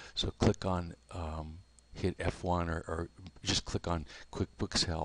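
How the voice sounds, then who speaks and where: A man's very deep, low, soft-spoken voice, monotone and flat, at a very slow pace, with a dry, close sound with no echo and a quiet background. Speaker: software tutor. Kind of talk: tutorial. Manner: halting.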